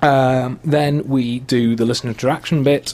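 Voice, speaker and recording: Medium-pitched male voice with a North Welsh accent, moderate pace and fairly even intonation. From Wales, Wrexham. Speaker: podcast host. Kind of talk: casual chat.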